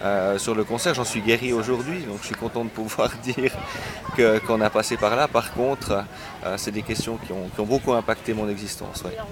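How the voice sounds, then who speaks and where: A man with medium pitch speaks at a moderate pace with fairly even intonation. Noticeable background noise is present. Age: 30s. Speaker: interviewee recalling Chernobyl. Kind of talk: interview. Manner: hesitant, repeats words.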